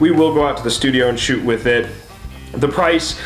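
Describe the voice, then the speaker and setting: Upbeat in tone, a man talks at a very fast pace with ordinary pitch variation, amid audible room echo and noticeable background noise. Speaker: photography YouTuber. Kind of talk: casual camera review. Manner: casual, upbeat.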